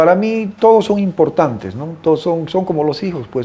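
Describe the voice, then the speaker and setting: A man speaks in a dark, mellow tone. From Bolivia, Beni (Santa Ana del Yacuma). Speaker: writer. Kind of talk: interview. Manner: halting.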